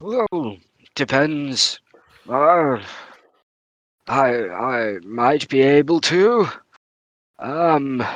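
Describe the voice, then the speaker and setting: Putting on a character voice, a man with a fairly high pitch talks at a very slow pace, using lively intonation and long, frequent pauses. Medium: actual play. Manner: hesitant, stammering.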